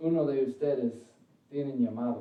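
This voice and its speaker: Audible room echo is present. A man talks at medium pitch with fairly even intonation. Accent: English. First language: English (speaking Spanish). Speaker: preacher. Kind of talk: sermon; prayer. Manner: halting, self-correcting.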